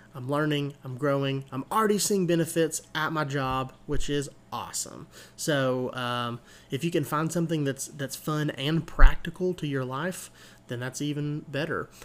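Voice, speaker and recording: A man with an unremarkable speaking voice talks at a moderate pace in a fairly high pitch with fairly even intonation. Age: 20s. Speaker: podcast host. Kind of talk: solo podcast monologue. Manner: casual with many filler words.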